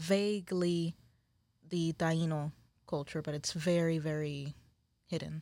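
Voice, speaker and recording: With a Spanish accent, a woman talks at a very slow pace in a fairly low, dark, mellow voice, her flat monotone broken by long, frequent pauses on a very clean recording with a silent background. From Puerto Rico, San Juan. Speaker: spiritual practitioner and shop employee. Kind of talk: testimony.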